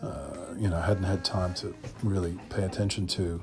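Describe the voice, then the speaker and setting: A somewhat breathy man with an American accent. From US South, Memphis, Tennessee. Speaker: musician. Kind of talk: interview. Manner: hesitant, many fillers.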